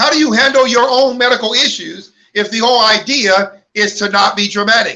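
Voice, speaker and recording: This man speaks in a raised, projected voice at an extremely high pitch, with a bright, sharp tone. His delivery is animated, with ordinary pitch variation at a moderate pace. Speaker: online ministry host. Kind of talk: livestream talk. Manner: loud.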